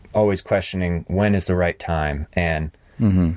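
An American man talks at a moderate pace with a very deep, low pitch and fairly even intonation. The recording is very clean, with a silent background. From US South and New England. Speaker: professional rock climber. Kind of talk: interview, personal testimony. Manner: halting, many repeated words.

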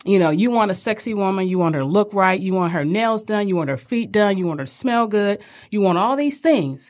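In a very clean recording with a silent background, a woman with an unremarkable speaking voice and a medium pitch talks at a fairly quick pace with lively intonation. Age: 50s. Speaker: home care business owner. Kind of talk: casual chat.

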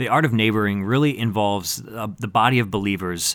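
Fairly quick delivery in an unremarkable speaking voice, pitch varying in an ordinary way. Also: man. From northern US. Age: 30s. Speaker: youth ministry director. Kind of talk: casual chat.

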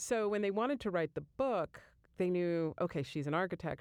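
A woman with a plain, everyday voice and a fairly low pitch speaks at a moderate pace on a very clean recording with a silent background. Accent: American. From US Northeast, Jersey Shore, New Jersey. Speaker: architecture professor. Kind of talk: interview.

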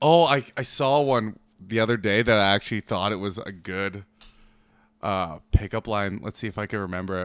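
At a moderate pace, a man with a normal speaking voice talks in a fairly low pitch with ordinary pitch variation. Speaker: podcast host. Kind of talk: casual banter.

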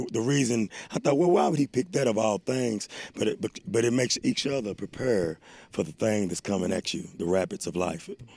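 This man has a dark, mellow tone and a medium pitch, with very wide pitch swings. He talks at a fairly quick pace, and the sound is dry and close with no echo. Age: 40s. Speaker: recovering addict in a recovery program. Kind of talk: casual interview.

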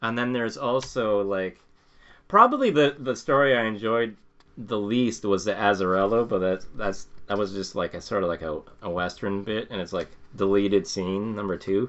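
Over a quiet background, a man talks at a moderate pace in a normal speaking voice, fairly low in pitch with ordinary pitch variation. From Canada. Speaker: podcast co-host. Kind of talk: casual chat.

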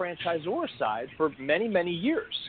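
Over noticeable background noise, a high-pitched man speaks with very wide pitch swings. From New Jersey (born in Greece, moved at five). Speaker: franchise consultant and author. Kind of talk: interview.

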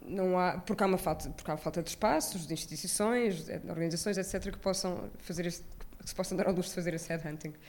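A woman's fairly low voice at a very fast pace, with fairly even intonation and audible room echo. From Portugal, Lisbon area (Odivelas). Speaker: film curator. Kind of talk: live interview. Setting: stage with live audience.

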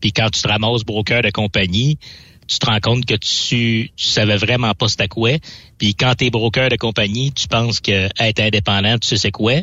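A man talks at medium pitch and a moderate pace in an ordinary speaking voice. His loudness stays very even and his intonation fairly even. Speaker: freight broker. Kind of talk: casual chat. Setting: studio.

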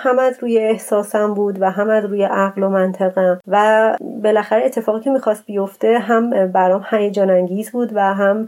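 Noticeable background noise sits under a woman talking at a fairly quick pace with fairly even intonation. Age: 30s. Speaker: traveler and cyclist. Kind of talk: interview storytelling.

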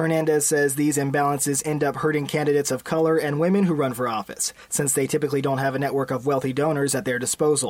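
With noticeable background noise behind him, a man rattles along at a very fast pace with hardly any pauses, at a fairly high pitch, with fairly even intonation and very even loudness. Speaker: news reporter. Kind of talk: news reading.

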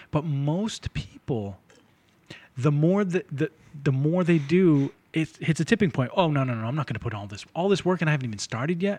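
A man's fairly high, somewhat breathy voice with an American accent, lively intonation and a fairly quick pace, dry and close with no echo. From North Shore, Massachusetts (Lynn). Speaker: podcast host. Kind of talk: casual interview.

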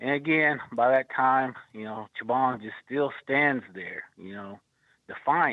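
An American accent at a very slow pace, with ordinary pitch variation. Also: man, medium pitch for a man. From Oklahoma. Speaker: storyteller and podcast co-host. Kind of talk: storytelling.

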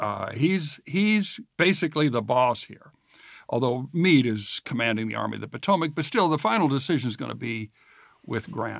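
A man speaks at a medium pitch with vocal fry and lively intonation, his loudness swinging widely. The background is quiet. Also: moderate pace. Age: 60s. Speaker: podcast host and interviewer. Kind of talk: interview, conversational.

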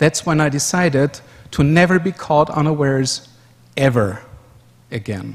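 Speaking in an Austrian accent, a man with a fairly high pitch keeps a moderate pace and takes long, frequent pauses. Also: ordinary pitch variation. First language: German. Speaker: conference speaker, software developer. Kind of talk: conference presentation. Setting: stage with audience.

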